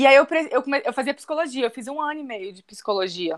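A woman speaks in a high-pitched voice. The recording is very clean, with a silent background. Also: dry, close sound with no echo. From Minas Gerais, Brazil (born in Brasília, moved as a baby). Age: 30s. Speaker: tourism graduate, holistic therapist and travel blogger. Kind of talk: casual interview.

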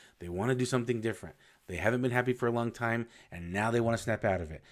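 A man with an unremarkable speaking voice at a medium pitch, with ordinary pitch variation, on a very clean recording with a silent background. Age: 40s. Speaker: podcast host. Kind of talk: motivational monologue. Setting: solo podcast recording. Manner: casual, conversational.

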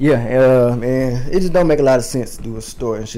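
In a room with audible echo, a man with an American accent talks very fast in a medium-pitched voice. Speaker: clothing designer. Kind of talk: casual chat.

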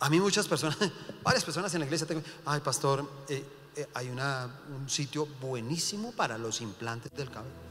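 Lively intonation and an animated tone carry this fairly quick delivery over noticeable background noise. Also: man, fairly high pitch for a man. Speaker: pastor. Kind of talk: sermon.

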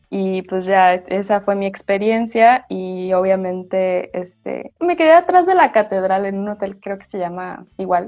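In a northern Mexican accent, a woman with a medium pitch and fairly even intonation speaks at a fairly slow pace with hardly any pauses and big swings in loudness. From northern Mexico. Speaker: theatre artist. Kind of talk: casual chat.

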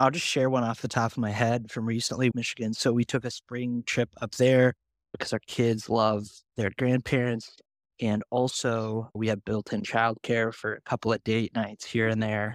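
In an American accent, a man speaks at a moderate pace with a medium pitch. His intonation is monotone and flat, on a very clean recording with a silent background. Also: dry, close sound with no echo. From US Midwest, northwest Ohio small town. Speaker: journalist. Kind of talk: casual interview chat.

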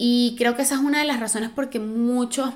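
Speaking fairly fast, a woman uses a fairly high pitch. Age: 30s. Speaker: podcast host. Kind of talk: casual monologue. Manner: animated.

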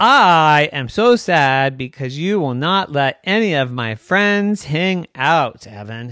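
A man uses a put-on, robotic character voice with a fairly high pitch. He talks at a fairly slow pace with hardly any pauses. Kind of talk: bedtime story. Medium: read story. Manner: flat, mechanical, robotic.

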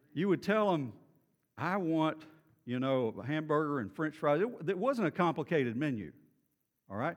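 A fairly high-pitched man with a Texan accent, lively intonation, a moderate pace and long, frequent pauses. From Texas, Beaumont. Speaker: pastor. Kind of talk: sermon. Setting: church.

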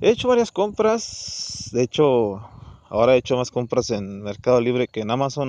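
Speaking with a Mexican accent, a man uses a dark, mellow tone at medium pitch and a fairly slow pace. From Mexico. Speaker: podcaster. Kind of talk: casual monologue. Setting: outdoors, walking. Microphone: phone recording.

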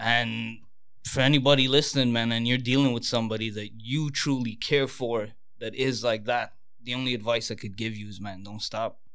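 A man's normal speaking voice at medium pitch and moderate pace, with fairly even intonation and big swings in loudness.

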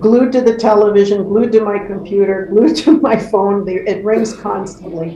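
A woman at medium pitch, moderate pace and ordinary pitch variation, with hardly any pauses, noticeable background noise and audible room echo. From born in England, raised in Canada. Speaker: community organization president. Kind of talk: interview. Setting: video call from home.

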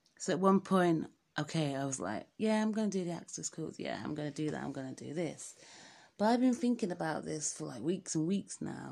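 Fairly quick woman's voice in an English accent, fairly low in pitch with very wide swings, on a very clean recording with a silent background. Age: 30s. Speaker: podcaster. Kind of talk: casual monologue.

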